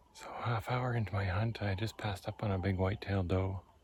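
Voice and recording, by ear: With a husky, rough edge, a man speaks low-pitched at a moderate pace with fairly even intonation.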